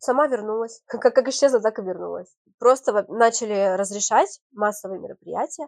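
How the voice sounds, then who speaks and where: A woman talks in a normal speaking voice, with a fairly high pitch and ordinary pitch variation. The sound is dry and close, with no echo. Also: moderate pace. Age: 30s. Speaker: TV presenter and event host. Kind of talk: interview.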